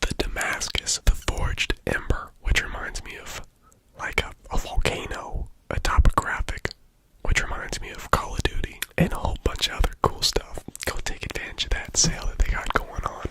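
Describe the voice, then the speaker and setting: The words are whispered. The pace is moderate, with noticeable background noise. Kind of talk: sponsor read in ASMR video.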